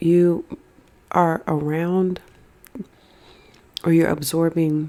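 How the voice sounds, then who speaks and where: A soft-spoken woman talks with a gentle tone. Her voice is dark and mellow, with a fairly low pitch. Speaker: ASMR creator, tarot and oracle card reader. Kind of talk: ASMR mukbang card reading, casual talk to camera. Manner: soft, gentle, eating sounds.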